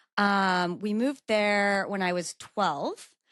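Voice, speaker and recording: A woman speaks with fairly even intonation in a Mid-Atlantic American accent. The sound is dry and close with no echo, on a very clean recording with a silent background. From Maryland, Baltimore County. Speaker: lawyer. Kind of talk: podcast interview.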